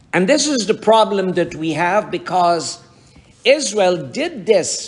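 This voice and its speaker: Amid noticeable background noise, a man speaks at a very slow pace with very wide pitch swings. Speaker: pastor. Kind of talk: sermon.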